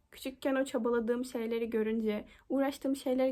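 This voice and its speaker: At a fairly quick pace, a woman with a plain, everyday voice speaks at a fairly high pitch with fairly even intonation. It is a very clean recording with a silent background. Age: 20s. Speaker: university student. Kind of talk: application video monologue.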